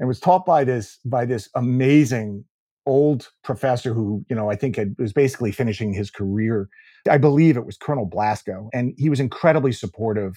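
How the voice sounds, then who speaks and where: A man's unremarkable speaking voice at medium pitch, fairly quick in pace, with ordinary pitch variation and a quiet background. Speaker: business executive and board director. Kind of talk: interview.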